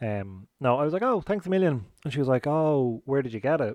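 A man with an Irish accent at a fairly high pitch, with lively intonation, against a quiet background, in a dry, close sound with no echo. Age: 30s. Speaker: podcast host. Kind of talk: casual solo chat. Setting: at home, garden. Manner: chatty, informal.

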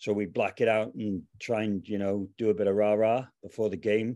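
With a Cardiff accent, a man speaks at a moderate pace in a dark, mellow, fairly low-pitched voice with monotone, flat intonation against a quiet background. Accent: Welsh (Cardiff). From Wales, Cardiff. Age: 40s. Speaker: arena DJ and anthem singer. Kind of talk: casual chat.

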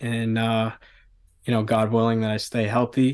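In a quiet background, a man talks in a monotone, flat way at medium pitch. He has an American accent. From Staten Island, New York. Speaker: hybrid athlete. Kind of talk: casual chat.

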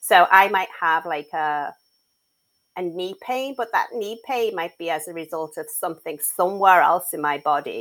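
On a very clean recording with a silent background, a woman with an English accent speaks at a fairly low pitch and a moderate pace, with ordinary pitch variation and big swings in loudness. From England. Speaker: mental health advocate and author. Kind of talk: casual interview chat.

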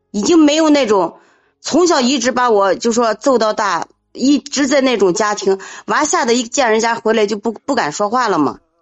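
Lively intonation marks this woman's fairly high voice, delivered at a moderate pace with very even loudness. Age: 40s. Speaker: caller. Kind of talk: casual chat. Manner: urgent.

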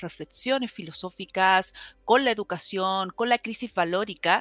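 On a very clean recording with a silent background, a woman uses a normal speaking voice with lively intonation, the sound dry and close with no echo. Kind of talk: interview conversation.

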